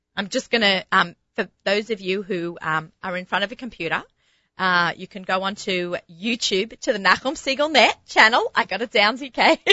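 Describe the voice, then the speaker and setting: A woman speaks at a moderate pace in an animated tone, with a strong Sydney accent. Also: medium pitch for a woman, ordinary pitch variation. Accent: strong Sydney Australian. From Australia. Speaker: radio host and kosher personal chef. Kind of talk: casual radio chat and interview. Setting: studio.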